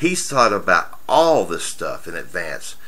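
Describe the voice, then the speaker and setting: With lively intonation and a bright, sharp tone, a man talks at a moderate pace. Audible room echo surrounds his voice. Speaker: tech reviewer. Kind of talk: software review tutorial. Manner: casual.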